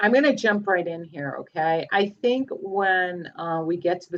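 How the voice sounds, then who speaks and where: It is a plain, everyday voice with ordinary pitch variation. The pace is fairly slow. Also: woman. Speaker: astrologer. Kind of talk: live group astrology session on video call.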